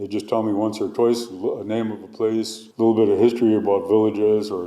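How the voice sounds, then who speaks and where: This man speaks very fast in a fairly low, dark and mellow voice. His intonation stays flat and monotone. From northern British Columbia coast, Canada (Tsimshian). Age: 60s. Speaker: hereditary chief and cultural researcher. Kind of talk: testimony. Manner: halting.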